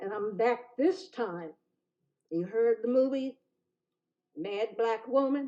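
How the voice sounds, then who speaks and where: A woman speaks at a very slow pace with an American accent. Her fairly high voice has lively intonation. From Chester, Pennsylvania, US. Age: 80s+. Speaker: public commenter, ordained minister. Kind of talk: public comment at council meeting. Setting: city council meeting.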